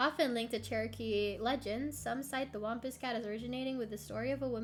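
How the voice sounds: A natural reading voice. It is read aloud.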